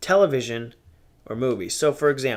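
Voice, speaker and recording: The intonation is lively. The speech keeps to a moderate speed. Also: man, very clean recording, silent background. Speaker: podcast host. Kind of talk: casual solo podcast monologue. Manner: loud.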